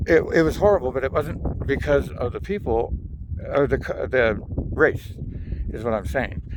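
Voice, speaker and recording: Long, frequent pauses break up a man's moderate-paced speech over noticeable background noise. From Southern California. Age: 50s. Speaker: video blogger. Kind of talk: casual monologue vlog. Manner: rambling, halting with many fillers.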